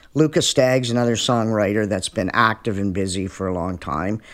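A man with a Canadian accent has a normal speaking voice at a fairly low pitch. He talks at a moderate pace with lively intonation. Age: 60s. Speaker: musician. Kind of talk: casual chat. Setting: at his home.

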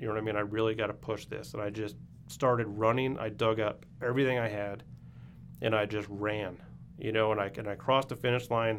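Fairly even intonation and a fairly quick pace from a man with a normal speaking voice, fairly low in pitch. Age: 50s. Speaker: amateur marathon runner. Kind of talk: casual chat.

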